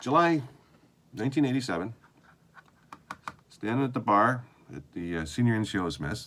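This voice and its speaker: Moderate pace with long, frequent pauses from a man with a Canadian accent, medium pitch and very wide pitch swings, over noticeable background noise. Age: 60s. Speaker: video diarist, former army sergeant. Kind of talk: video diary monologue. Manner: halting, with many fillers.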